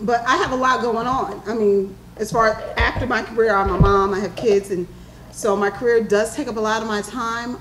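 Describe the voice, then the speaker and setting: A woman with an American accent talks at a moderate pace in a fairly high pitch, her intonation fairly even, with noticeable background noise behind her. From New York. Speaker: panelist. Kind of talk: panel discussion. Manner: loud.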